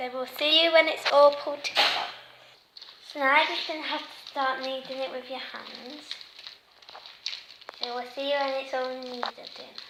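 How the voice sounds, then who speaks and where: Woman's voice in monotone, flat intonation at a moderate pace, with long, frequent pauses, big swings in loudness, and noticeable background noise. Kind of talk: casual craft tutorial talk to camera.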